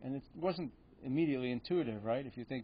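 A man's voice over light background noise. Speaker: economics lecturer. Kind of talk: lecture. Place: hall. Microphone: podium.

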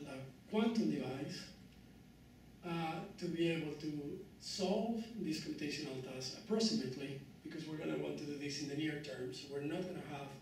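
There is audible room echo and light background noise as a man speaks at a moderate pace with ordinary pitch variation. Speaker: speaker. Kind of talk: lecture. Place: hall. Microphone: camera far.

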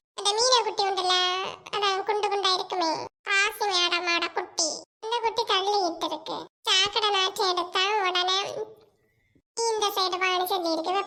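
In a cartoonish character voice, a woman with an extremely high pitch speaks at a fairly slow pace with fairly even intonation. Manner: chatty, exclaiming.

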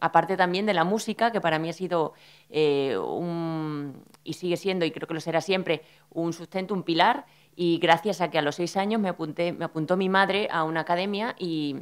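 At a moderate pace and in a fairly low pitch, a woman speaks in a normal speaking voice with fairly even intonation against a quiet background. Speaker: speaker. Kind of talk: personal talk at a panel. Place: hall. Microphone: podium.

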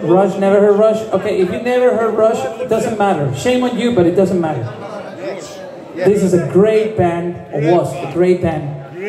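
A man's high-pitched voice at a moderate pace, with ordinary pitch variation and noticeable background noise. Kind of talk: stage banter. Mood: joking, playful. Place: bar.

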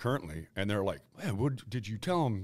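A man with an American accent and vocal fry, lively intonation at a fairly quick pace, against a quiet background. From Ohio, US Midwest. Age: 50s. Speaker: retired baseball pitcher; guest. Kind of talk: casual interview chat. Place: meeting room. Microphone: studio mic.

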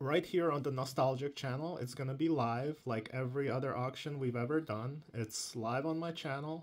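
This man speaks in a plain, everyday voice at a medium pitch, with fairly even intonation and hardly any pauses. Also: moderate pace. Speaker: YouTube channel host, Hot Wheels collector and reviewer. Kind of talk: casual talk to camera.

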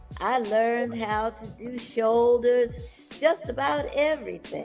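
Faint music plays in the background as the speaker talks at a very slow pace with lively intonation. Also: woman, fairly high pitch for a woman. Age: 80s+. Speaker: bodybuilder. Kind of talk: interview answer. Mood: warm, animated. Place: home room. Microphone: video call.

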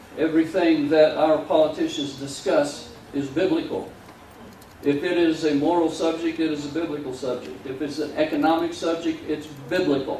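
A man at a moderate pace, fairly even in intonation, with audible room echo and light background noise. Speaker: pastor. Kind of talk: sermon. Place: church.

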